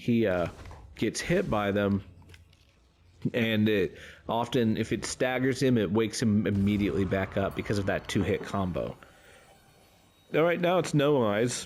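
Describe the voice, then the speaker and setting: A man speaks at a moderate pace, fairly low in pitch, with lively intonation. His loudness stays very even, broken by long, frequent pauses. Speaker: gaming YouTuber. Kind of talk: gameplay tutorial commentary. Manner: halting, with many fillers.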